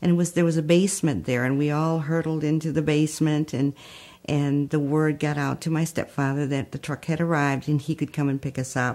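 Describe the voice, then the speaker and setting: With a Spanish accent, a woman talks at a fairly quick pace in a very deep, low voice with monotone, flat intonation. The recording is very clean, with a silent background. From Texas, raised in Holland, Michigan. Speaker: community founder. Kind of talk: life story testimony.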